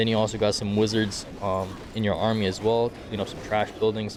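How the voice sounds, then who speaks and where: A man's fairly low voice, monotone and flat, at a moderate pace over noticeable background noise. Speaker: gaming video creator. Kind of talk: tutorial. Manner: casual, filler words.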